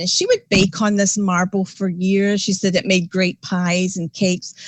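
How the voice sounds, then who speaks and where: A woman with a Scottish accent sounds somewhat breathy. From Scotland. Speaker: paranormal investigator. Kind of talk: casual interview chat. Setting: podcast livestream.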